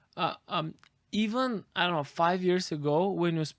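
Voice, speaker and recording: Recorded dry and close with no echo against a silent, very clean background, a man speaks at a fairly slow pace. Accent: Bulgarian. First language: Bulgarian. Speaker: AI expert. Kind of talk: interview.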